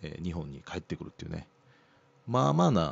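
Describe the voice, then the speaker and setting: A man's voice with very wide pitch swings. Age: 50s. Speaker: radio host. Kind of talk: casual chat.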